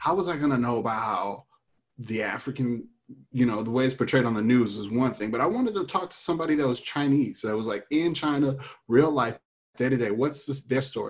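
A man talks at a medium pitch and a fairly quick pace in a normal speaking voice. His pitch variation is ordinary. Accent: American. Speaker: improviser. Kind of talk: panel discussion. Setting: video call.

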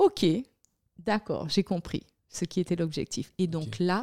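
At a fairly slow pace and with ordinary pitch variation, a woman speaks in a very clean recording with a silent background and a dry, close sound with no echo. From Guadeloupe. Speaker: communications entrepreneur and political show host. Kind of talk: interview.

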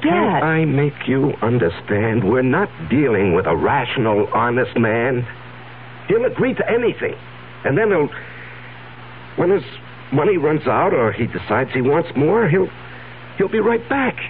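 A man's strained, put-on character voice at a fairly high pitch, at a moderate pace with long, frequent pauses. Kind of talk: 1970s radio drama acting. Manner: anxious, strained.

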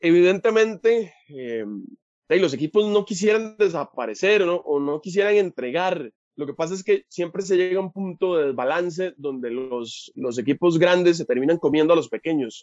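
A man with a Costa Rican accent speaks at a moderate pace in a high voice with lively intonation. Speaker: football commentator guest. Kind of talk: casual chat.

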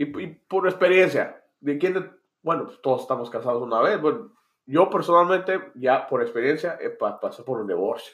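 A man talks at a moderate pace with lively intonation. His pitch is high. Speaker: youtuber. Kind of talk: casual banter podcast.

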